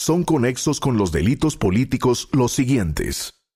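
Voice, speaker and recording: Music plays in the background as a man speaks with a medium pitch. His pace is fairly slow and his intonation lively. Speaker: announcer. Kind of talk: institutional reading of legal text.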